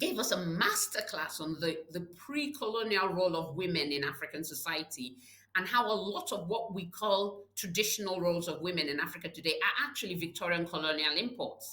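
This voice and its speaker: Over noticeable background noise, a woman with a medium pitch speaks at a fairly quick pace with hardly any pauses. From Nigeria. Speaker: public health leader. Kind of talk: interview. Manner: repetitive stammering, many fillers.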